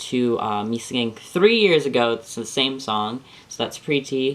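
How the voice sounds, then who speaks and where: A man with a medium pitch talks at a fairly slow pace in a plain, everyday voice. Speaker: vlogger sharing transition update. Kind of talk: casual vlog monologue. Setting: camera on a bookshelf in bedroom. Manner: rambling, many fillers.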